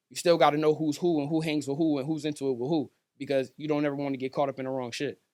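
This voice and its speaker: A man with an American accent speaks at a very fast pace, with a fairly high pitch and monotone, flat intonation. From Stratford, Connecticut. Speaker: rapper. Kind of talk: casual chat.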